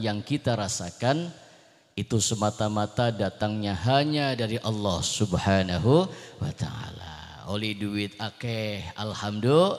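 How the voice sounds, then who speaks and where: Against a quiet background, a man speaks at a fairly slow pace in a normal speaking voice. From Jakarta, Indonesia (born in Cirebon); Jakarta, Indonesia. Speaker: Islamic preacher. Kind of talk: sermon. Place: stage. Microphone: handheld.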